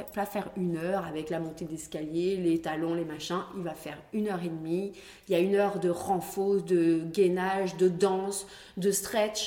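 Against noticeable background noise and audible room echo, a woman with a medium pitch speaks at a moderate pace in an animated tone. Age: 40s. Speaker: pole dance champion and studio founder. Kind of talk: casual interview. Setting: dance studio. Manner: animated, laughing often.

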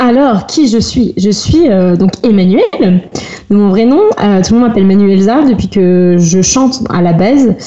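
Against noticeable background noise, a woman talks at a fairly slow pace and a medium pitch, with ordinary pitch variation. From France, Rennes area. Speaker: cosplayer and blogger. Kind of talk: casual podcast interview.

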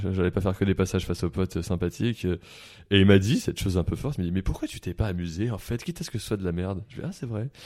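Very deep, low-pitched male voice with a dark, mellow tone, ordinary pitch variation and a very fast pace with hardly any pauses, on a very clean recording with a silent background. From France, Paris area. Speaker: comedian and media personality. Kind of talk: casual chat. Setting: studio.

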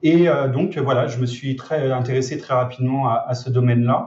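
With ordinary pitch variation, this voice comes across as somewhat breathy. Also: man. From France, Lyon region. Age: 30s. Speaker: e-commerce trainer and entrepreneur. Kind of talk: interview.

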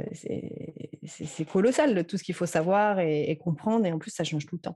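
A woman speaks very slowly at a fairly low pitch in a dark, mellow tone. Her pitch varies in an ordinary way, with a quiet background. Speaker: social media consultant. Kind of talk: interview. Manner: halting.

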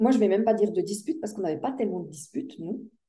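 Her voice is fairly high for a woman, dark and mellow in tone, and somewhat breathy. She speaks with lively intonation. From Switzerland. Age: 60s. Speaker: life coach. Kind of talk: interview.

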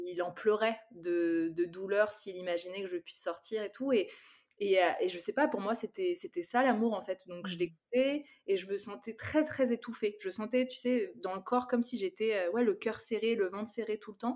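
Lively intonation and a moderate pace from a woman with a plain, everyday voice, pitched fairly high. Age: 30s. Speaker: content creator. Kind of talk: casual chat.

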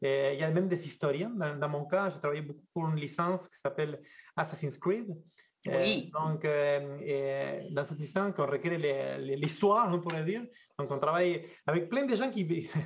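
A man with a fairly high pitch has an unremarkable speaking voice. He talks at a moderate pace with ordinary pitch variation. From Argentina. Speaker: video game 3D artist. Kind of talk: casual interview chat.

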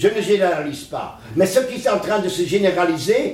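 A man speaks at a high pitch with ordinary variation. Room echo is audible. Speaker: psychologist. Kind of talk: interview. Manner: animated.

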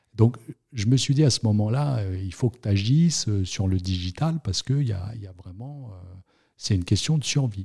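A man's fairly low, somewhat breathy voice, dark and mellow, with lively intonation, a moderate pace and big swings in loudness, on a very clean recording with a silent background. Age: 40s. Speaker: notary. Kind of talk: interview. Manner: hesitant, many fillers and repetitions.

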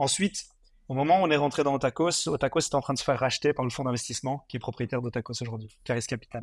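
A man talks at a very fast pace and a medium pitch. The sound is dry and close with no echo, and the recording is very clean with a silent background. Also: ordinary pitch variation. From Belgium, Mons (Hainaut). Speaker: fast-food franchise entrepreneur. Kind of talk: interview.

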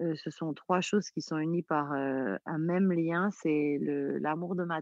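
This woman has a very deep, low pitch. She speaks at a very slow pace with fairly even intonation. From Corsica. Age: 30s. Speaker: singer. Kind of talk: interview.

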